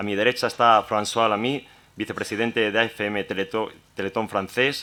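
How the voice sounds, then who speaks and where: A man speaks in a fairly low voice with a bright, sharp tone. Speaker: round table moderator. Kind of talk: panel introduction.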